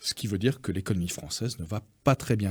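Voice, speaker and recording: Somewhat breathy, a man with a fairly low pitch talks at a moderate pace with lively intonation. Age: 60s. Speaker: business federation president. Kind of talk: radio interview.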